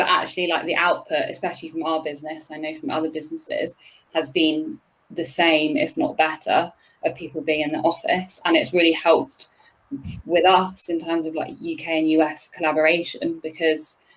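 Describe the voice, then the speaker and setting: A woman talks fairly quickly with a British accent, her pitch fairly low. Her intonation stays monotone and flat. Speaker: head of people and culture at a record label. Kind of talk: panel discussion. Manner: halting, many fillers.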